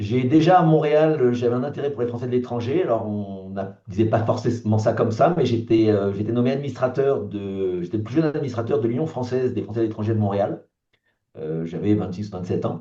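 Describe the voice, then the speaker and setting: Here a man speaks at a medium pitch with lively intonation. His pace is fairly quick. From France (born in Algeria, pied-noir). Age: 60s. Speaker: political candidate, entrepreneur. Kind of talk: interview self-introduction. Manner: hesitant, many fillers.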